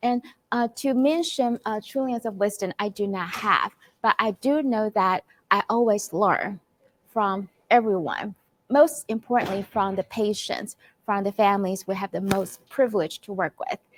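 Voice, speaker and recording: A woman in a Chinese accent at a moderate pace, medium in pitch, with ordinary pitch variation and a dry, close sound with no echo. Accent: non-native, Chinese-accented English. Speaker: clinical psychologist. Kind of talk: conference presentation. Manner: halting, many fillers.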